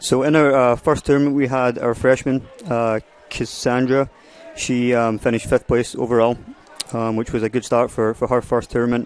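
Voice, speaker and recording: A man with a Scottish accent talks in a monotone, flat intonation amid noticeable background noise. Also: medium pitch for a man, moderate pace. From Scotland, Prestwick (Ayrshire). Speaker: college golf coach. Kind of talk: radio interview. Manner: clear, distinct today.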